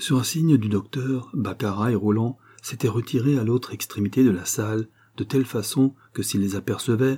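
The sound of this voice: The voice reads aloud in an unforced way.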